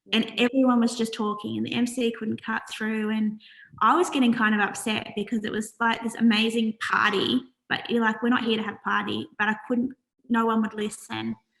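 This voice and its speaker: In an Australian accent, a woman talks at a fairly quick pace. Her intonation stays monotone and flat. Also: fairly high pitch for a woman. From Australia, New South Wales (Wollongong). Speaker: charity founder. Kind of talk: interview. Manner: soft-spoken.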